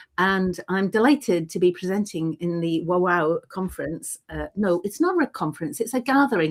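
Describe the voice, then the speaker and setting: A woman with an unremarkable speaking voice and medium pitch talks at a fairly quick pace with lively intonation and hardly any pauses, in a very clean recording with a silent background. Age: 60s. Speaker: writer and gathering presenter. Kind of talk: casual chat.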